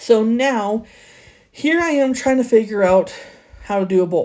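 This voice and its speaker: Her tone is dark and mellow. The woman speaks at a moderate pace. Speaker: crafting YouTuber. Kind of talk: casual voiceover tutorial. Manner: occasional stutter.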